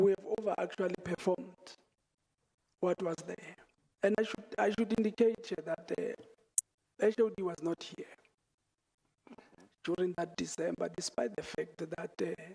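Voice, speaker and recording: The voice is quiet and moves at a fairly slow pace. Long, frequent pauses break up the speech. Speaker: witness at inquiry. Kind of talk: testimony. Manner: halting.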